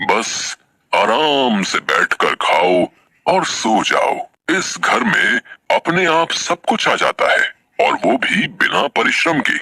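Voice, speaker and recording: A man in a cartoonish character voice at a fairly slow pace and very even loudness. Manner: grave, formal, measured.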